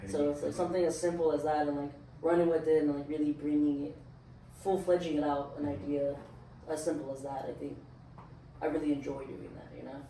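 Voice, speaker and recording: A man with a fairly high pitch talks at a fairly quick pace, broken by long, frequent pauses, and his intonation stays fairly even. Noticeable background noise and audible room echo are present. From Southern California, Orange County (Anaheim). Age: 20s. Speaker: studio owner and clothing brand founder. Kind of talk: casual chat. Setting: in-person recording at a studio. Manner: casual, filler-heavy.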